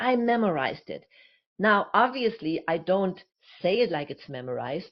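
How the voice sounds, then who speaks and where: Speaking at a moderate pace, a woman's voice moves through very wide pitch swings. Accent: German. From Germany. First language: German. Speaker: communication coach and speaker, former actress. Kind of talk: interview.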